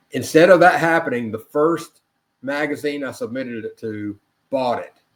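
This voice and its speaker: A man with an ordinary speaking voice talks at a moderate pace and a fairly high pitch, with ordinary pitch variation and big swings in loudness. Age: 60s. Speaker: author and chemist. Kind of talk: interview conversation. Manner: conversational with self-corrections.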